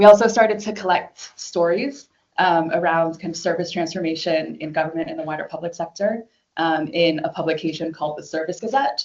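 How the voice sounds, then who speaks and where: A woman with an American accent speaks at a fairly quick pace in a fairly low pitch, with ordinary pitch variation. It is an ordinary speaking voice, with big swings in loudness. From United States. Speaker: government design leader. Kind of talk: conference talk.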